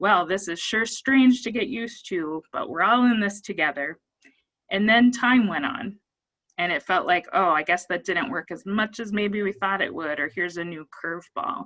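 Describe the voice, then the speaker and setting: With an American accent, a woman has an unremarkable speaking voice, medium pitch, lively intonation, and a moderate pace. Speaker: psychologist. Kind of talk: presentation.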